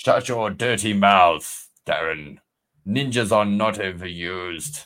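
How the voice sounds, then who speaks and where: Fairly slow and fairly low in pitch, a man does a put-on character voice in a very clean recording with a silent background. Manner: gruff, scolding.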